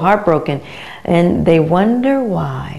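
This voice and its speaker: A woman's voice in an American accent, with noticeable background noise behind it. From United States. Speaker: vocal coach. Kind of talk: promotional talk to camera. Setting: her teaching studio. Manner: casual, conversational.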